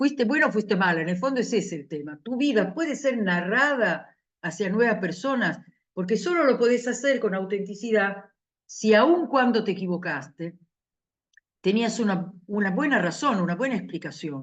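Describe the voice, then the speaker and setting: Very wide pitch swings from a woman at medium pitch, moderate pace. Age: 70s. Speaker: university professor. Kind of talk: lecture.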